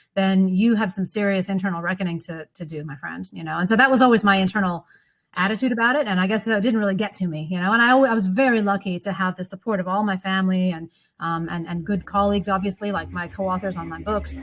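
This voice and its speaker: The speaker talks very fast in an American accent with ordinary pitch variation. The voice is somewhat breathy. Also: woman, very clean recording, silent background. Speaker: economics professor. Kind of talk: podcast interview. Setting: studio.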